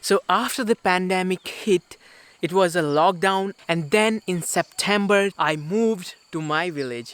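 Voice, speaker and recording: A man with an Indian accent, high-pitched for a man, at a fairly slow pace with ordinary pitch variation, in a dry, close sound with no echo. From India, Uttarakhand hills. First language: Garhwali. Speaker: travel vlogger. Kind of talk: casual vlog talk to camera. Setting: village home.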